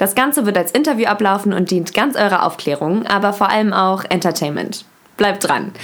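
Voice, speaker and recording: Delivered at a moderate pace, a normal speaking voice keeps very even loudness and ordinary pitch variation. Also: woman, medium pitch for a woman. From Germany, Berlin. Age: 20s. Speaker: podcast host, university student. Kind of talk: scripted podcast intro.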